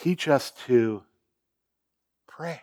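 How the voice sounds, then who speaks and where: A man with a Canadian accent, medium pitch and lively intonation, on a very clean recording with a silent background. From Ontario, Canada (Sarnia). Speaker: guest pastor. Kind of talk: sermon. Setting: church. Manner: laid back.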